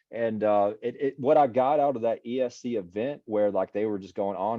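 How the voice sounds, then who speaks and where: Very fast speech from a man with a fairly low pitch and an American accent. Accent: country, audible. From US South, East Texas. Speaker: city IT leader. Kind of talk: casual interview. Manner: casual, hesitant.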